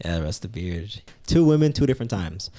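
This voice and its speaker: Very fast and lively, a man speaks with a dark, mellow tone and a fairly low pitch on a very clean recording with a silent background. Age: 20s. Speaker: podcast guest. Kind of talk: casual chat.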